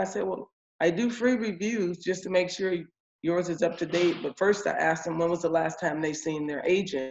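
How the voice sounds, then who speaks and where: With music in the background, a woman talks at a moderate pace in a fairly low pitch with ordinary pitch variation. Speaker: insurance agent. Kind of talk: casual report to sales team. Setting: video call.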